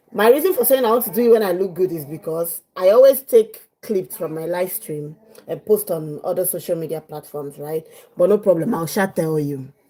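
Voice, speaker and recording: Lively in intonation, a woman talks with a fairly low pitch and a dark, mellow tone, her loudness swinging widely. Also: fairly quick pace. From Nigeria, Abia State. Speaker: live streamer, mother. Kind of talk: casual live stream chat. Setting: at home, live stream. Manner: chatty, repetitive.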